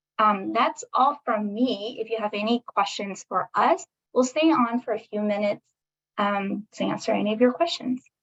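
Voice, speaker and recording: A woman with a fairly high pitch sounds somewhat breathy in a dry, close recording with no echo. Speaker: state government meeting facilitator. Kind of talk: online public meeting presentation. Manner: frequent um fillers.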